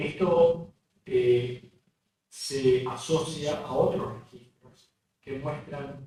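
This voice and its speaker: This man talks in a fairly high voice. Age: 60s. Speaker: cardiologist. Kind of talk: lecture. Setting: remote video presentation. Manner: hesitant, many fillers.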